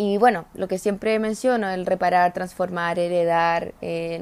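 The recording is very clean, with a silent background. A woman speaks at a medium pitch and a moderate pace. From Chile, Araucanía region. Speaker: public relations professional. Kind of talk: interview.

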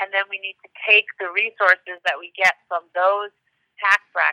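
A woman speaks at a moderate pace. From US Northeast, Westchester New York. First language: Hungarian. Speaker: politician. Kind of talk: interview.

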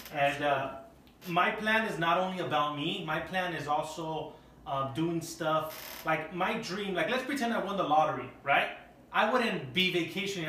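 A man speaks loudly at a high pitch with ordinary pitch variation, with audible room echo and noticeable background noise. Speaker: podcast host. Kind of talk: casual chat. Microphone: no microphones, camera audio.

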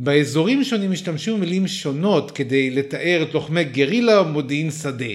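Animated in tone, a man talks at a moderate pace with lively intonation and a fairly high pitch. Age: 40s. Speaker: podcast host. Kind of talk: scripted narration.

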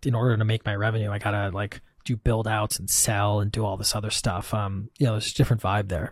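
A man talks at a fairly quick pace with an American accent, his voice medium in pitch and somewhat breathy. The sound is dry and close, with no echo. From US Midwest, Wisconsin. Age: 30s. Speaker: software company founder. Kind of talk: casual interview.

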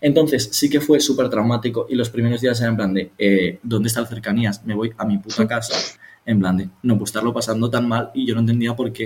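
Somewhat breathy, a man talks at a fairly quick pace and medium pitch. His intonation is fairly even. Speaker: podcast co-host. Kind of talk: casual chat.

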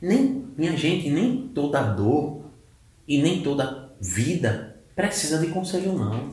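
A man with very wide pitch swings, audible room echo and noticeable background noise. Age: 30s. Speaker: mental health specialist. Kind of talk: casual interview. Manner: halting, many fillers.

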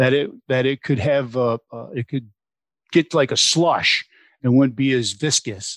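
In a very clean recording with a silent background, a man with a plain, everyday voice speaks at a moderate pace and medium pitch, using ordinary pitch variation, the sound dry and close with no echo. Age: 50s. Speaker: tire additive company sales rep. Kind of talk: interview.

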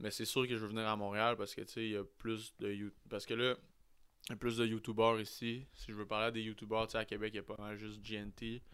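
This man talks at a fairly quick pace. His fairly low voice stays monotone and flat. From Quebec City. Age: 20s. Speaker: podcaster and vlogger. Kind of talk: casual chat.

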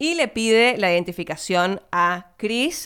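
A woman speaks with an Argentine accent. The recording is very clean, with a silent background. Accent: non-porteño Argentine. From Argentina, outside Buenos Aires. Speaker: film podcaster. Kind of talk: solo film review monologue. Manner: casual, filler-heavy.

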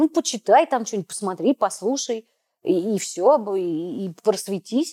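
A woman speaks at a medium pitch with lively intonation. Her tone is dark and mellow. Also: dry, close sound with no echo, very clean recording, silent background. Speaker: podcast host. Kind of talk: casual interview discussion.

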